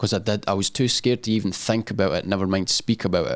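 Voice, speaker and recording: A man with a Scottish accent speaks with a fairly low pitch and fairly even intonation. The recording is very clean, with a silent background. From Scotland. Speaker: social media influencer and business owner. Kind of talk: podcast interview answer.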